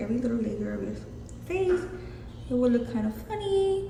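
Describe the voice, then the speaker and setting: A woman with a strong Mexican accent at a moderate pace, with audible room echo and noticeable background noise. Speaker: beauty vlogger. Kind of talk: makeup tutorial. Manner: casual, chatty.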